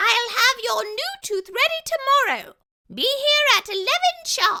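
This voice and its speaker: A woman puts on a squeaky character voice at an extremely high pitch. She talks at a fairly slow pace. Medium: read story. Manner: polite, precise.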